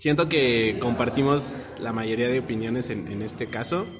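Speaking with a Mexican accent at a moderate pace, a man of medium pitch keeps a fairly even intonation amid noticeable background noise and audible room echo. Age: 20s. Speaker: podcast host. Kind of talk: casual chat.

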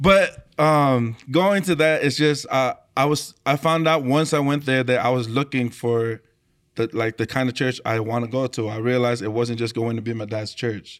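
A man with a Tongan accent, medium pitch, ordinary pitch variation and moderate pace, in a very clean recording with a silent background. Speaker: worship leader, singer. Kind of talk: casual chat.

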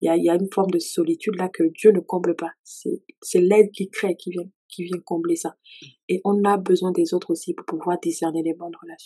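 Delivered at a fairly quick pace, the speech shows big swings in loudness and has a dry, close sound with no echo. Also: woman. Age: 30s. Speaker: worship leader and author. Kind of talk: testimony.

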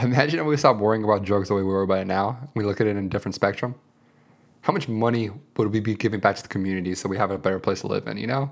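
This man speaks at a very fast pace. His pitch is fairly low, with ordinary variation. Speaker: podcast co-host. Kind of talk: casual chat.

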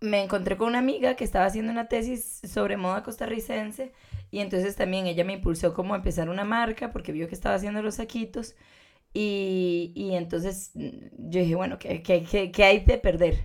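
In an unremarkable speaking voice, a woman talks at a medium pitch. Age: 20s. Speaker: fashion designer. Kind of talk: casual interview.

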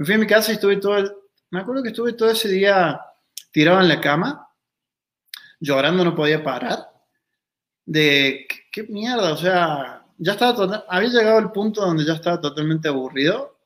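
Speaking at a fairly quick pace yet with long, frequent pauses, a man uses a high pitch and lively intonation. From Argentina, Río Cuarto, Córdoba. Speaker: consciousness workshop facilitator, former kickboxer. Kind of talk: casual interview.

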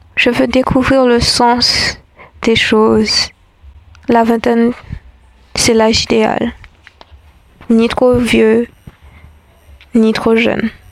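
The speaker talks at a very slow pace with long, frequent pauses, monotone, flat intonation and very even loudness, over noticeable background noise. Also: woman, fairly high pitch for a woman. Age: 20s. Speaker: spoken-word essayist. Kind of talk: reflective scripted monologue.

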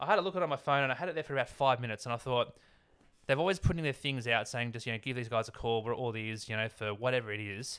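Speaking very fast in an Australian accent, a man holds a medium pitch with ordinary pitch variation on a very clean recording with a silent background. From Sydney, Australia (northern beaches). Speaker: handyman. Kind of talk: casual chat. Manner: halting.

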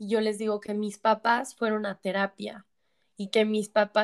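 The sound is dry and close with no echo as a woman speaks at a fairly slow pace in a medium pitch with monotone, flat intonation. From Mexico, San Luis Potosí. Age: 20s. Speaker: addiction therapist. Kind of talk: testimony.

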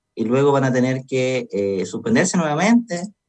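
Lively in intonation, a man with an unremarkable speaking voice talks at a medium pitch and a moderate pace. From Chile, O'Higgins region. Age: 30s. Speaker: lawyer and political candidate. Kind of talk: radio interview.

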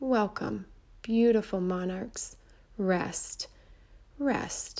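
This woman has a dark, mellow, gentle tone, a medium pitch, fairly even intonation and a very slow pace. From Mexico. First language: Spanish. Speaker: children's storyteller. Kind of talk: storytelling for children. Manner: gentle, slow storytelling.

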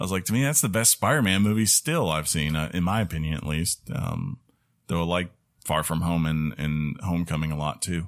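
Very deep, low pitch from a man, captured on a very clean recording against a silent background. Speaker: gaming podcast host. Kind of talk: casual chat. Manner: loud.

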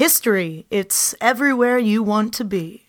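In a put-on character voice, a woman speaks at a moderate pace with fairly high pitch and ordinary pitch variation, on a very clean recording with a silent background. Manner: smooth, polished, slogan-like.

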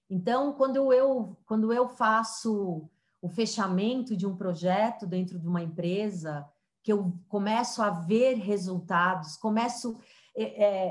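Fairly high, somewhat breathy female voice at a very slow pace. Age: 40s. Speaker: diversity and digital transformation consultant. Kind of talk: interview.

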